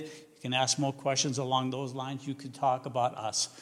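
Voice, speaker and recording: With a Massachusetts accent, a man talks at a moderate pace and a fairly high pitch. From New England, Massachusetts. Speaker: missionary and seminary teacher. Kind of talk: vision-casting talk to a church team. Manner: halting with many fillers; loud and enthusiastic.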